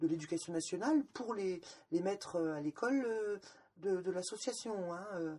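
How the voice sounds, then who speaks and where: Her voice has a dark, mellow tone at a medium pitch for a woman, with ordinary pitch variation. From Lorraine, France. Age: 50s. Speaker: former sect member. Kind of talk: testimony. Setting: at her home. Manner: hesitant, repeats words.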